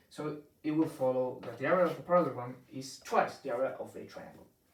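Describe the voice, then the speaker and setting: A man with a Spanish accent at a moderate pace. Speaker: math teacher. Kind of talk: tutorial. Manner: halting, many fillers.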